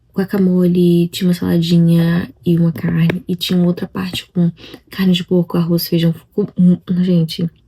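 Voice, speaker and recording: Recorded dry and close with no echo, a woman with a fairly low voice speaks in a flat monotone at a moderate pace. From Brazil. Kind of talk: casual vlog talk.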